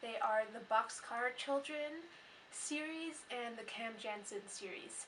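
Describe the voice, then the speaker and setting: Through noticeable background noise, a woman speaks at a fairly slow pace in a high pitch with ordinary pitch variation. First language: not English. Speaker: book vlogger. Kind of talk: casual vlog monologue.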